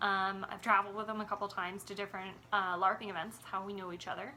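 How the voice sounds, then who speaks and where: A woman talks at a very fast pace. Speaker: gaming vlogger. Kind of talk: casual vlog monologue. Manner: loud; hesitant with fillers.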